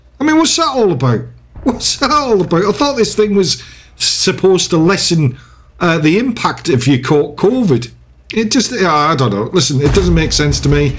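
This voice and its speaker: A man with a British accent talks at a moderate pace in a high voice, his pitch swinging very widely while his loudness stays very even. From UK. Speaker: gaming YouTuber. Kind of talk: gameplay commentary with casual rant. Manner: hesitant, lots of fillers; animated.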